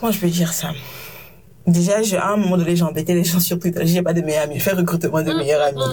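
The intonation is fairly even. The pace is very fast. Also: woman. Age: 20s. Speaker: podcast host. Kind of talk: casual interview conversation.

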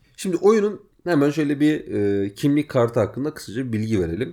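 A man speaks at a fairly quick pace with a fairly high pitch, a dark, mellow tone and very wide pitch swings. The recording is very clean, with a silent background. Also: hardly any pauses. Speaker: gaming podcast host. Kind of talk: casual chat.

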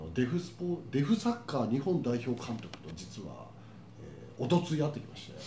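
Amid noticeable background noise, a man of medium pitch talks at a moderate pace, with very wide pitch swings and big swings in loudness. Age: 50s. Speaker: podcast host. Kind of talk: casual chat.

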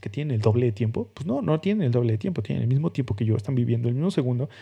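Somewhat breathy, with a dark, mellow tone, a man speaks at a medium pitch with lively intonation. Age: 30s. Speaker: podcast host, designer. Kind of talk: solo podcast monologue. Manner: casual, hesitant with fillers.

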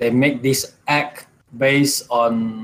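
Medium-pitched man at a very slow pace. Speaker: podcast guest. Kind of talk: casual discussion.

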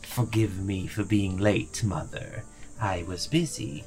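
Someone speaks in a put-on character voice at a fairly slow pace, with clear background noise. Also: man, fairly low pitch for a man.

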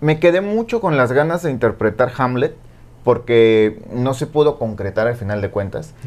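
A man speaks at a moderate pace in a normal speaking voice. His medium-pitched delivery has lively intonation. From Mexico, port of Veracruz. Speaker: singer and former TV presenter. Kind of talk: interview conversation.

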